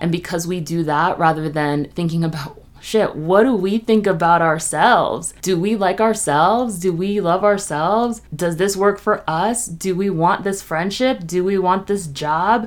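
Using an unremarkable speaking voice, a woman at medium pitch with ordinary pitch variation speaks at a fairly slow pace with hardly any pauses. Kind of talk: guided meditation. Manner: slow, soft, calming, with gentle pauses.

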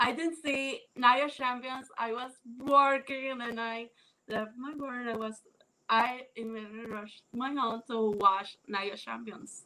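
The voice moves at a fairly slow pace with fairly even intonation, big swings in loudness, and a bright, sharp tone. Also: woman, high pitch for a woman. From Puerto Rico. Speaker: wrestling fan. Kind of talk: casual interview. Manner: halting.

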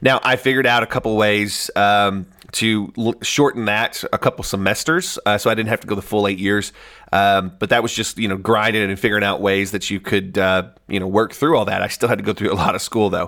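A man with a Southern US accent talks at a fairly quick pace in a bright, sharp tone, with a fairly low pitch and fairly even intonation, on a very clean recording with a silent background. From US South, Northeast Arkansas. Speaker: chiropractor turned marketing agency owner. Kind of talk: audiobook narration, unscripted-sounding.

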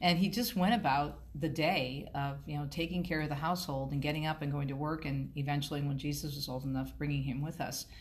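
A woman with an American accent speaks at a fairly quick pace with hardly any pauses, her very deep, low voice showing vocal fry and ordinary pitch variation, while audible room echo surrounds her. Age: 50s. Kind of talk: interview.

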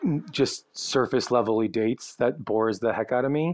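Against a quiet background, a man with a plain, everyday voice speaks at medium pitch and a moderate pace with ordinary pitch variation. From Chicago, US Midwest. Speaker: travel blogger. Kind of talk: casual interview.

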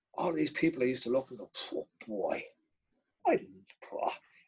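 Talking at a fairly quick pace, a man with a Dublin accent speaks at a medium pitch. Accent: Dublin Irish. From Ireland. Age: 50s. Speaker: martial arts organiser. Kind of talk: casual chat.

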